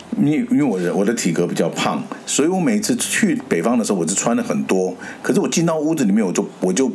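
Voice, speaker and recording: Noticeable background noise accompanies a man speaking very fast. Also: fairly high pitch for a man. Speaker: podcast host. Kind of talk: casual chat.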